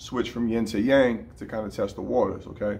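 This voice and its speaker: Vocal fry marks this man's voice as he talks at a moderate pace. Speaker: boxing coach. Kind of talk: tutorial. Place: gym. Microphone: phone near.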